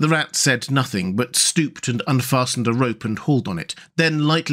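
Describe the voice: Ordinary pitch movement in plain reading aloud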